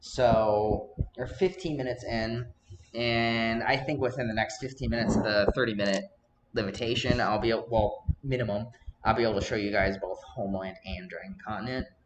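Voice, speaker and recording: Noticeable background noise sits behind a man speaking at a fairly quick pace with a medium pitch and ordinary pitch variation. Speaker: gaming video creator. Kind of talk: tutorial. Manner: jittery.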